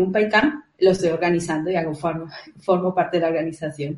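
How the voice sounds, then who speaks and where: Speaking at a fairly quick pace, a woman keeps a medium pitch with ordinary pitch variation. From Colombia. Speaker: event organizer, junior developer. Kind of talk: casual interview chat.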